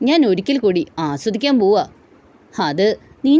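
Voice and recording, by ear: The text is read aloud in a natural voice. Its intonation is lively.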